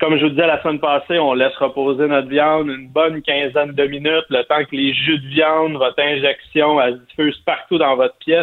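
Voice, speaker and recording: A man talks at a fairly quick pace and a fairly high pitch with a Quebec accent and hardly any pauses. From Quebec, Montérégie. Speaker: barbecue columnist. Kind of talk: cooking tips. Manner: enthusiastic.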